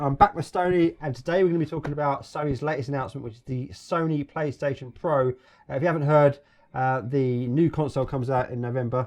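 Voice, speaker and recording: Speaking at a very fast pace, a man with a British accent has a fairly high pitch and ordinary pitch variation. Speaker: gaming vlogger. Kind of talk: casual podcast discussion.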